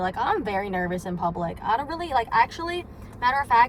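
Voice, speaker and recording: Very fast and fairly high, this woman's voice swings widely in pitch over noticeable background noise. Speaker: vlogger. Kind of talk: casual vlog monologue. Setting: in a car. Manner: loud; rambling with many fillers.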